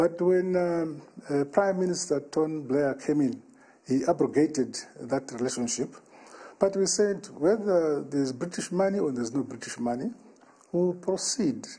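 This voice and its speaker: A man speaks with a Zimbabwean accent at a fairly high pitch. His tone is dark and mellow, his intonation lively, his pace moderate. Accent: Zimbabwean Shona. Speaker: head of state. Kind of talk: interview answer. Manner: hesitant, many filler sounds.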